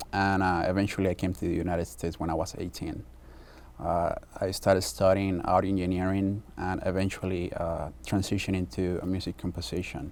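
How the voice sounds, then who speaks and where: A man with a Spanish accent talks at a fairly quick pace with a very deep, low pitch. His intonation is fairly even, with vocal fry. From Mexico. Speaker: film composer. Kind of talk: interview. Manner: halting.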